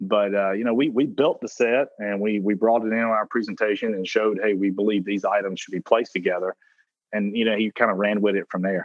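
A man talks at a very fast pace in a strong Southern US accent. His voice is fairly low, with fairly even intonation. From South Carolina. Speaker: food brand founder and CEO. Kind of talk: interview. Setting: phone call.

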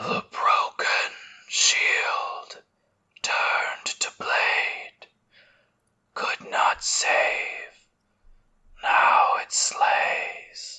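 A put-on character voice, whispering, raspy and wheezy, at a very slow pace with long, frequent pauses. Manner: cryptic, taunting, slow.

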